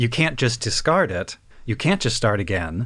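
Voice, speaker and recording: The recording is very clean, with a silent background. A man speaks at a medium pitch and a moderate pace. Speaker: podcast co-host. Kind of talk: casual chat about anime. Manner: pitches voice slightly higher to mirror co-host.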